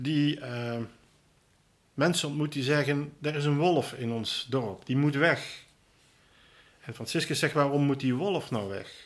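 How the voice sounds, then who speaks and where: Using long, frequent pauses, a man with fairly high pitch talks at a very slow pace with ordinary pitch variation. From Netherlands, Limburg (Roermond). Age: 60s. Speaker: deacon. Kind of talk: casual interview. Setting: parish house. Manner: hesitant, many filler sounds.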